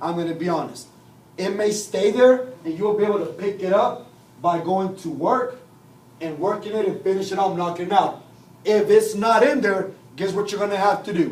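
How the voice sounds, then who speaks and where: A man's high-pitched voice amid noticeable background noise and audible room echo. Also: ordinary pitch variation. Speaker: software trainer. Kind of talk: training class. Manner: fast.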